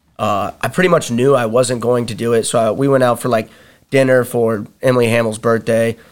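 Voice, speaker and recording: This very clean recording with a silent background holds a normal speaking voice, a man at a medium pitch with fairly even intonation. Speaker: wrestler and fighter. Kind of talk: casual chat. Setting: studio.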